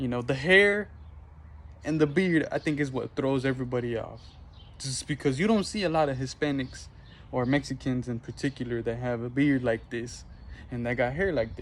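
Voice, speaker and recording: Medium-pitched with ordinary pitch variation, a man talks at a moderate tempo. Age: 20s. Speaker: vlogger. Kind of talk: casual vlog monologue. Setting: outdoors. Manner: animated.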